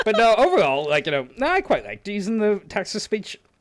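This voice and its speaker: Speaking at a fairly quick pace, a man talks with a strong Northern Irish accent. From Northern Ireland. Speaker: youtube narrator. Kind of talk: casual chat.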